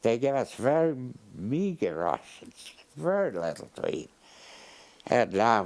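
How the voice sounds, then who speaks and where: A man talks fairly slowly at a medium pitch, with long, frequent pauses. His pitch swings very widely. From Poland. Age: 90s. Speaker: Holocaust survivor. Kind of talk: interview. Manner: halting.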